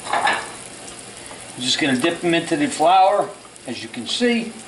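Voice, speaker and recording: A man talks at a fairly slow pace. Noticeable background noise runs under his voice. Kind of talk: tutorial. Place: kitchen.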